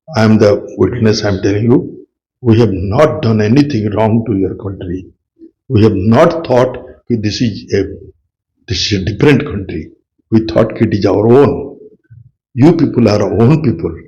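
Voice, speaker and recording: Speaking in an Indian accent, a man with a dark, mellow, somewhat breathy tone talks at a medium pitch and moderate pace with ordinary pitch variation, long, frequent pauses, and audible room echo. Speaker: retired army officer, war veteran. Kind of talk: interview. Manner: halting.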